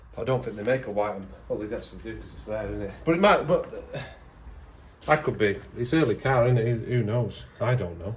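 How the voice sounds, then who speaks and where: A man talks at a fairly quick pace, his loudness swinging widely. Room echo can be heard. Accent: northern English. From northern England. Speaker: auto electrician. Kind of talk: casual chat while working.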